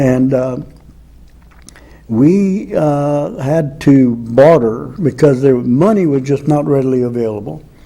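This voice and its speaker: Very slow in pace, a man talks at fairly high pitch with ordinary pitch variation and a dark, mellow tone. Audible room echo surrounds the voice. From Louisiana, Acadiana. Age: 80s+. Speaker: author and former space program worker. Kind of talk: interview storytelling. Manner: halting, many 'uh' fillers.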